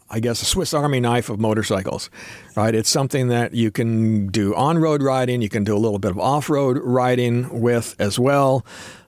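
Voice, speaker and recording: At a moderate pace and medium pitch, a man speaks in a normal speaking voice with ordinary pitch variation and very even loudness. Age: 60s. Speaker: motorcycle YouTuber. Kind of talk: casual interview. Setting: studio.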